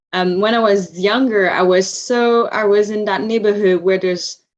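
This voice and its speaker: Speaking with a Quebec accent, a woman talks at a moderate pace. Her pitch is medium and her intonation fairly even. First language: Vietnamese. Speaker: interview guest. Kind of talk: casual interview. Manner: halting, many fillers.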